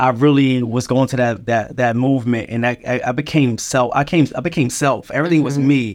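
With an American accent and a plain, everyday voice, a man talks at a fairly quick pace with hardly any pauses. His pitch is medium and his intonation fairly even, against a quiet background. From Philadelphia. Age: 30s. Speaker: nonprofit founder. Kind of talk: casual interview.

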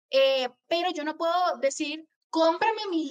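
Her intonation is lively. This woman's voice is high in pitch. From Venezuela. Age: 20s. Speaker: copywriter. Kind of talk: interview.

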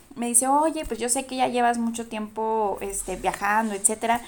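Here a woman speaks in a high pitch. Her intonation is fairly even. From Durango, Mexico. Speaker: podcast guest, traveler. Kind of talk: casual chat.

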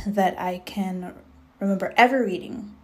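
There is audible room echo around a woman's voice. She speaks at medium pitch with ordinary pitch variation. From Jamaica. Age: 20s. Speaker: podcast host. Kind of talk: casual solo monologue. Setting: at home. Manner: many filler ums.

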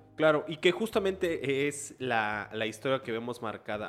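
A man speaks at a fairly slow pace with a medium pitch and lively intonation. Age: 20s. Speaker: podcast host and reporter. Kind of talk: casual conversational interview. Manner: hesitant, many fillers.

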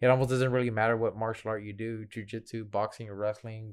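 In an American accent, a man speaks at a fairly low pitch with monotone, flat intonation over a quiet background. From Houston, Texas. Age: 30s. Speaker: Muay Thai fighter and coach. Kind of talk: casual interview.

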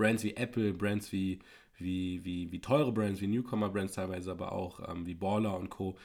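In an ordinary speaking voice, a man talks at a moderate pace with fairly low pitch and fairly even intonation, recorded very cleanly against a silent background. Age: 20s. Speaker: podcast co-host. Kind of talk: casual chat. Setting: home podcast setup.

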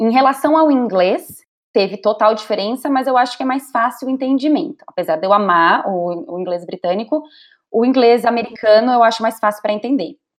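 Using an ordinary speaking voice, a woman talks at a moderate pace with lively intonation and fairly high pitch. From Brazil. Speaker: digital entrepreneur coaching women. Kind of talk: casual interview chat. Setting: visiting Brazil, on holiday.

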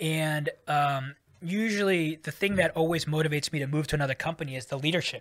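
The intonation stays fairly even. The speaker talks with a Californian accent. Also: man, fairly high pitch for a man, fairly quick pace. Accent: Californian American. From US, San Francisco Bay Area. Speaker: tech executive. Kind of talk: casual interview.

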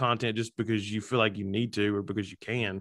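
Here a man has a plain, everyday voice with an American accent. His pitch is medium and his intonation fairly even. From Alabama, US South. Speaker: comedian and social media content creator. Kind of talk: casual interview chat. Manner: humorous, self-deprecating.

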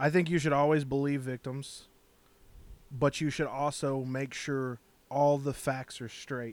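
A man talks at a fairly slow pace, his pitch fairly high for a man. The recording is very clean, with a silent background. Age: 30s. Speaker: podcast co-host. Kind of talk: casual chat. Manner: animated.

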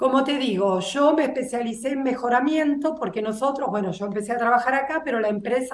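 A woman with a high-pitched voice talks at a fairly quick pace, hardly pausing at all. Her pitch varies in an ordinary way, and noticeable background noise is present. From Buenos Aires, Argentina. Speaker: agronomist and soybean breeder. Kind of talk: interview.

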